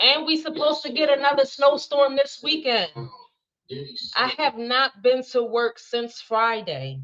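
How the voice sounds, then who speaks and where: Her voice is high-pitched with ordinary pitch variation, and this woman speaks at a moderate pace in an animated tone. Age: 30s. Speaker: live streamer. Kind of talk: casual chat.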